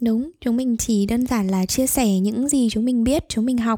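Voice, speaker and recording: A woman's fairly high, dark, mellow voice with ordinary pitch variation, dry and close with no echo on a very clean recording with a silent background. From Vietnam, Hanoi. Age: 20s. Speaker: podcast co-host, psychology student. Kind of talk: casual chat.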